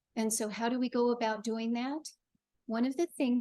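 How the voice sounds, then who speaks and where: A soft-spoken woman talks at a fairly high pitch with fairly even intonation. The sound is dry and close with no echo, over a quiet background. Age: 60s. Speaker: funeral celebrant and death doula. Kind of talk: panel discussion.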